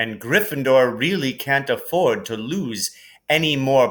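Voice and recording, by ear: Lively intonation throughout, while reading aloud in a natural voice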